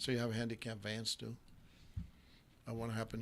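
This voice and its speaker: A man with a fairly low pitch, a very fast pace and monotone, flat intonation. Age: 70s. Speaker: talk show host. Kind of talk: casual interview. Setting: studio. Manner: code-switching English and Aramaic/Arabic.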